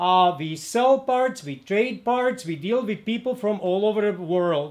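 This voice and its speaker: A man with a Czech accent speaks at a fairly slow pace, his high voice rising and falling with lively intonation. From Czechoslovakia. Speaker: motorcycle mechanic and parts dealer. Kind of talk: video introduction. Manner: halting, many fillers.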